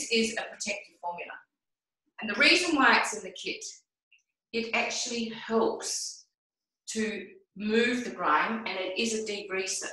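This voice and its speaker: A woman with a bright, sharp tone talks at a moderate pace with ordinary pitch variation and long, frequent pauses. The background is quiet, though audible room echo is present. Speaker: product demonstrator. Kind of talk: tutorial. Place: bathroom. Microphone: video call.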